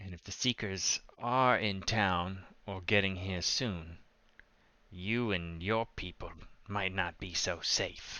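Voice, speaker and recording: Using a put-on character voice, a man speaks very deep and low at a fairly slow pace. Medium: actual play. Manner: guarded, blunt.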